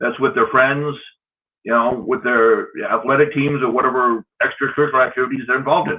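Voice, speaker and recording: Here a man speaks in an American accent at a fairly quick pace. His pitch is fairly high and varies in an ordinary way. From US West Coast, Long Beach, California. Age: 50s. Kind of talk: interview. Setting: live video show.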